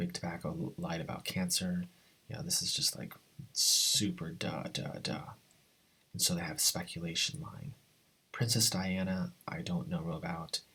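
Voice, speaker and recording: A quiet man's voice, bright and sharp in tone, with very wide pitch swings at a moderate pace. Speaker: video blogger. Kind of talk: casual commentary monologue. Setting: at home early morning. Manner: talking low, quiet.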